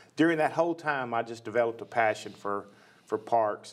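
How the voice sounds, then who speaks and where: A man talks at a fairly quick pace with a Tennessee accent. His pitch sits in the medium range. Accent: Tennessee Southern US. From US South, West Nashville, Tennessee. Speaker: county parks and recreation director. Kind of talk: interview.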